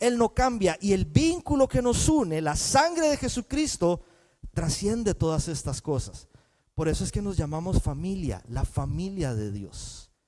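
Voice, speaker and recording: Here a man with a high pitch and a dark, mellow tone speaks at a fairly slow pace. His pitch swings very widely. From Costa Rica. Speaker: pastor. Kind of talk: sermon.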